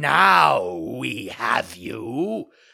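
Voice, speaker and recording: In a raspy put-on character voice, a man swings his pitch very widely. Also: very deep, low pitch for a man. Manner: growling threateningly.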